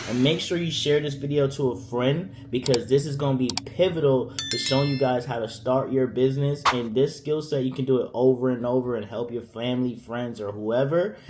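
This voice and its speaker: Over noticeable background noise, a man with an American accent talks at a medium pitch and a fairly quick pace, with hardly any pauses and fairly even intonation. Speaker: business tutorial creator. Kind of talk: tutorial. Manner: fast; casual.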